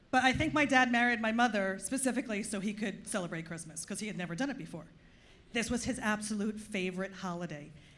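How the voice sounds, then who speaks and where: A woman talks very fast with an American accent and a fairly high pitch. Her pitch varies in an ordinary way, and audible room echo is present. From US Northeast (Long Island, New York). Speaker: comedian. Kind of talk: stand-up. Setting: stage with audience.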